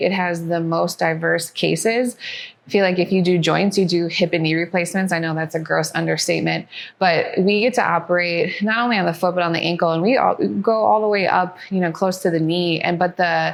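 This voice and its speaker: A woman speaks with an American accent and a fairly low pitch. She has ordinary pitch variation and an ordinary speaking voice. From US Midwest, Wisconsin. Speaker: orthopedic surgeon in fellowship training. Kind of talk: interview testimonial.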